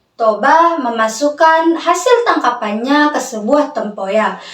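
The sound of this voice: Audible room echo surrounds a woman who talks slowly in a high pitch with lively intonation.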